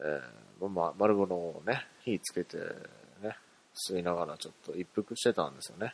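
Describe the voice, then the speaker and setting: In a dry, close sound with no echo, a man with a very deep, low pitch and ordinary pitch variation talks at a moderate pace. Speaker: podcast host. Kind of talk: casual solo monologue.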